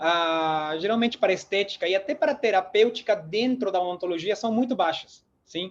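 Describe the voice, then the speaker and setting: With a Peruvian accent, this man speaks at a high pitch. His pace is moderate, with ordinary pitch variation. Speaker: dentist and lecturer. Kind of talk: lecture. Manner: hesitant fillers.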